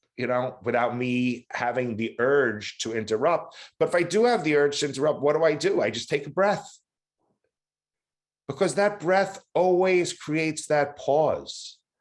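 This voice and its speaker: Against a quiet background, a man with an American accent talks at a moderate pace. His pitch is fairly high and his intonation lively. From New York City (Queens). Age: 60s. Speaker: person in addiction recovery. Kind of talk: testimony. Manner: halting, many fillers.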